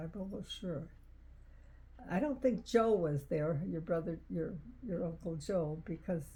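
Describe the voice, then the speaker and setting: Fairly low in pitch and somewhat breathy, a woman speaks in a dark, mellow tone at a fairly slow pace, with lively intonation and long, frequent pauses. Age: 80s+. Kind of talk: interview answer.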